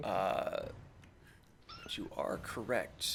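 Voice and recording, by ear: A squeaky, put-on character voice comes through against clear background noise. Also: man.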